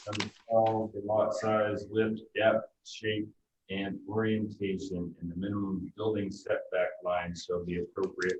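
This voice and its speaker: Soft-spoken and somewhat breathy, a man talks at a moderate pace in a fairly low pitch. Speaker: planning board member. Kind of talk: public meeting. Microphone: too quiet.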